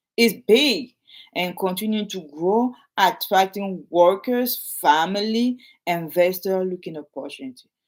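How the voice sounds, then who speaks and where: This speaker talks fairly slowly. The words come in a French accent. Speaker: realtor. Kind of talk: casual talk to camera, partly reading aloud. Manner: halting, repetitive.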